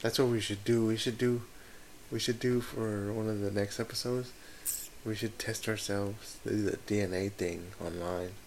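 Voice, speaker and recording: The man has an unremarkable speaking voice, fairly low in pitch. He keeps a moderate pace and fairly even intonation. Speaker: podcast co-host. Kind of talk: casual chat.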